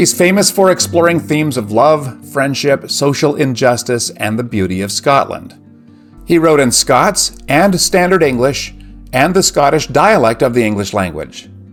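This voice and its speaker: A man's fairly high-pitched voice with lively intonation at a moderate pace, music in the background. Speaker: literature commentator. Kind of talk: educational lecture narration.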